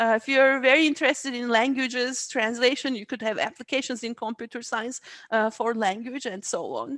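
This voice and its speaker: On a very clean recording with a silent background, a woman with a Turkish accent and a high pitch talks at a fairly quick pace with fairly even intonation. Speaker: AI research scientist. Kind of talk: interview. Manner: halting.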